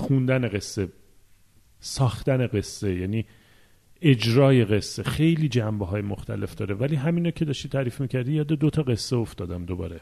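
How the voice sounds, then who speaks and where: This man has a dark, mellow tone. He keeps a moderate pace throughout. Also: medium pitch for a man, lively intonation. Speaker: podcast co-host. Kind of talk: casual chat.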